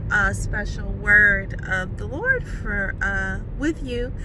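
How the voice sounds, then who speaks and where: A woman's voice in a dry sound with no echo, with noticeable background noise. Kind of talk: casual talk to camera. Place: car. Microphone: phone near.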